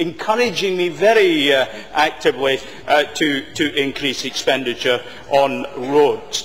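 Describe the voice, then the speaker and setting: A man with a Scottish accent, with noticeable background noise. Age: 60s. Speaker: government minister. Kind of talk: parliamentary debate speech. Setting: parliament chamber. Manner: formal.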